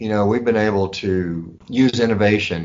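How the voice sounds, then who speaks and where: The speaker is a man with a Texan accent. His pitch is fairly low. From West Texas. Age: 60s. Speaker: pharmacy owner. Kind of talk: interview.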